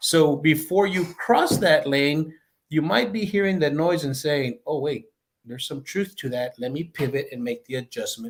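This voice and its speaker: A man with an American accent has a plain, everyday voice at a fairly high pitch. He keeps a moderate pace and ordinary pitch variation. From El Paso, Texas. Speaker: retired law enforcement chief and leadership expert. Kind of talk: interview answer. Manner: conversational.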